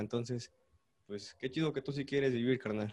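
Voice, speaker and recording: A man at a medium pitch in a monotone, flat intonation. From Mexico, Puebla. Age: 20s. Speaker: cumbia musician. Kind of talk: casual chat.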